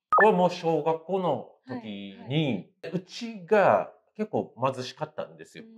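Big swings in loudness and very wide pitch swings mark this man's high voice. He speaks at a fairly slow pace. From Japan. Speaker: comedian. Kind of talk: casual interview. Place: cafe.

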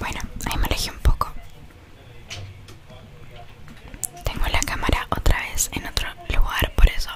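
The voice is soft-spoken and whispering. It moves along at a moderate pace. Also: woman. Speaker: ASMR content creator. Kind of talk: casual vlog chat. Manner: soft close-mic ASMR whisper. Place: home room. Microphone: studio mic.

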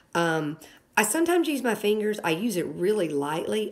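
A woman talking at a moderate pace. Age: 50s. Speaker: product reviewer. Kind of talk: product review tutorial. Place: home room. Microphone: phone near.

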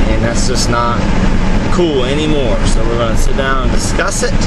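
A man talks at a moderate pace against loud background noise, the sound dry with no echo. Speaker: vlogger. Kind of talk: casual vlog chat. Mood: joking, storytelling. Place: car. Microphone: phone near.

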